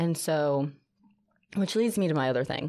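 At a moderate pace, a woman speaks in a very deep, low pitch with ordinary pitch variation, on a very clean recording with a silent background. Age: 30s. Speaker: former teacher, real estate agent and cycle instructor. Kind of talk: casual chat. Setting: studio.

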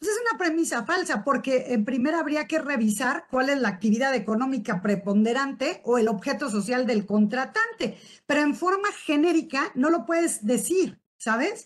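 With a Mexican accent, a woman talks at a moderate pace with hardly any pauses, her high voice making very wide pitch swings. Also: very even loudness. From Uruapan, Michoacán, Mexico. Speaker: tax lawyer and business owner. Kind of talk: expert presentation on tax law.

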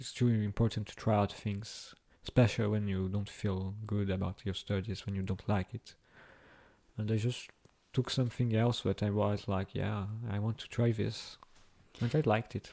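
On a very clean recording with a silent background, a man speaks at a fairly low pitch in a dark, mellow tone with monotone, flat intonation. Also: moderate pace. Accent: French. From Brazil. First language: French. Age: 20s. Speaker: university student. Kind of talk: interview. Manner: halting.

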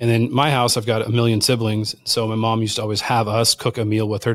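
A man with a Californian accent races along at a very fast pace with hardly any pauses, medium pitch, and monotone, flat intonation, in a very clean recording with a silent background. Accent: Californian American. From Southern California. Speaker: wild game chef. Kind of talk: podcast interview.

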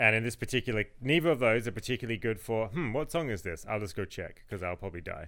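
This very clean recording has a silent background. The talking goes by at a very fast pace. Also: man, medium pitch for a man. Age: 30s. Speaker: podcast co-host. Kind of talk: casual chat.

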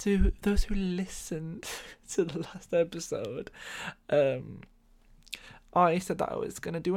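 A man with an English accent, high-pitched, at a moderate pace, on a very clean recording with a silent background. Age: 20s. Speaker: podcast host. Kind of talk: casual monologue. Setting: home bedroom.

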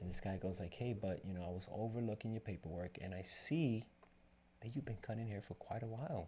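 A man speaks at a fairly quick pace in a dark, mellow tone that is somewhat breathy. His pitch varies in an ordinary way. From Dominican Republic, raised in New York City. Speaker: barber and business owner. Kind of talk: casual interview.

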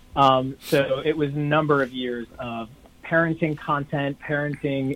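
A man with an American accent speaks at a fairly high pitch with monotone, flat intonation. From New York City area. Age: 40s. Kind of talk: interview.

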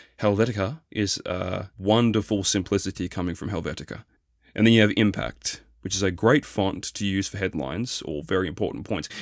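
A fairly quick man's voice with an Australian accent, fairly low in pitch with ordinary variation, on a very clean recording with a silent background. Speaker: solo podcast host. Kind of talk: monologue commentary.

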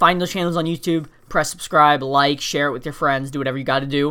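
A man's fairly high, bright and sharp voice at a very fast pace, with fairly even intonation, on a very clean recording with a silent background. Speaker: podcast host. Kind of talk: motivational monologue. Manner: high energy.

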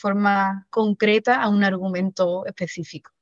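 A woman's medium-pitched voice, monotone and flat in intonation, at a moderate pace, with a dry, close sound and no echo. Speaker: writer and secondary school teacher. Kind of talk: interview.

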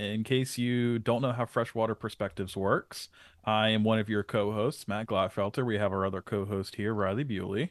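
In an unremarkable speaking voice, a man talks at a moderate pace and fairly low pitch with ordinary pitch variation and hardly any pauses. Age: 20s. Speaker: podcast co-host. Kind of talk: casual educational chat.

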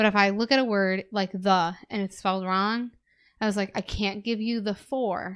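Heard on a very clean recording with a silent background, a woman with an American accent talks at a moderate pace and medium pitch with fairly even intonation. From US Midwest. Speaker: podcast co-host and teacher. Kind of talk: casual chat. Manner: laughs often.

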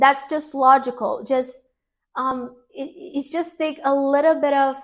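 On a very clean recording with a silent background, a woman with a Portuguese accent speaks at a high pitch and a fairly slow pace. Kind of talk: casual religious talk video. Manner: halting, with many fillers.

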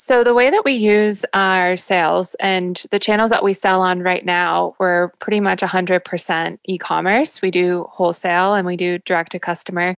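An ordinary speaking voice: a woman with an American accent, medium pitch, fairly even intonation and a moderate pace, with hardly any pauses, in a very clean recording with a silent background. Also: dry, close sound with no echo. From US South, Jacksonville, Florida. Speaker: brand founder. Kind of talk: interview.

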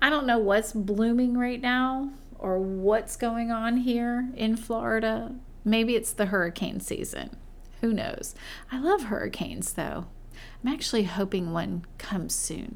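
Speaking at a fairly slow pace, a woman with a fairly high pitch and ordinary pitch variation is heard with audible room echo. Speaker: podcast host and schoolteacher. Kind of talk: casual monologue.

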